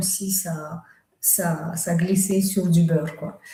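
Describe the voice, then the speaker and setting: A woman speaks at a very slow pace in a Russian accent. Her tone is dark and mellow, and somewhat breathy. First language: Russian (speaking French). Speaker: author and medium. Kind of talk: live stream talk. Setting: live stream. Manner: halting, many fillers.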